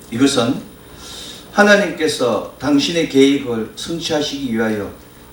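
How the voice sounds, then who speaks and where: Over noticeable background noise and audible room echo, a man talks at a fairly slow pace with a fairly high pitch and ordinary pitch variation. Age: 50s. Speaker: pastor. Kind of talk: sermon.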